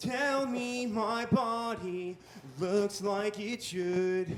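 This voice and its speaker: A man puts on a character voice with a high pitch. The act comes with a New England accent. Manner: scolding, nagging.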